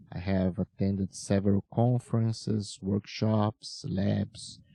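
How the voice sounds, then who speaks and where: At a very slow pace, a dark, mellow tone comes through in a dry, close sound with no echo. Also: man. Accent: Portuguese. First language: Portuguese. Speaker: podcast host. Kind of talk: interview. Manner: formal.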